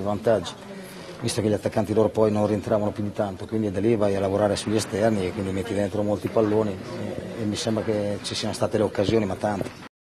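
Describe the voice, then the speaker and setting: Over light background noise, a man speaks at a very fast pace. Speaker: football coach. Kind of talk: post-match interview. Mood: calm, analytical. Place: hall. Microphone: handheld.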